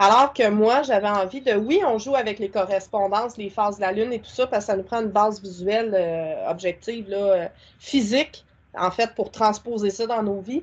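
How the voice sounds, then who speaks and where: A woman with a Quebec accent speaks in a fairly high voice with ordinary pitch variation. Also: moderate pace, big swings in loudness. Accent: Québécois French. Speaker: spiritual content creator and witchcraft practitioner. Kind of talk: casual interview.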